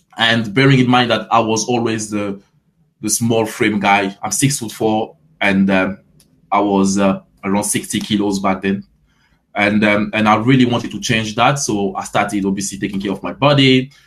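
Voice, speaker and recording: With a French accent, a man speaks at a moderate pace, his pitch fairly low and his intonation fairly even. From Ivory Coast. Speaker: fitness coach. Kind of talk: interview. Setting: live stream.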